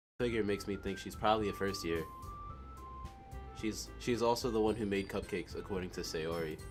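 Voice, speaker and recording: Music in the background behind a man's fairly low voice, with ordinary pitch variation, a fairly quick pace and long, frequent pauses. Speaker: game playthrough reader. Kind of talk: reading a visual novel aloud.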